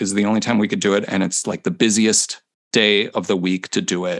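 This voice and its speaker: A man with a normal speaking voice and an American accent talks at a fairly quick pace and fairly low pitch, with fairly even intonation and a dry, close sound with no echo. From US Midwest, Chicago area. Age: 40s. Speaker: percussion instructor. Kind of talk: casual interview. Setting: video call.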